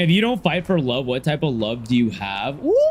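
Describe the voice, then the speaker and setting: A man speaks loudly. He keeps a fairly quick pace. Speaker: gaming streamer. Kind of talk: casual livestream chat.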